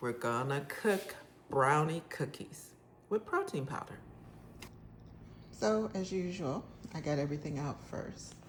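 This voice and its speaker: A woman with a very deep, low voice speaks at a fairly slow pace with lively intonation and long, frequent pauses. Noticeable background noise and audible room echo are present. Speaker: cooking channel host. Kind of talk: cooking tutorial. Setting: home kitchen. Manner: loud. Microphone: phone mic, forgot lapel mic.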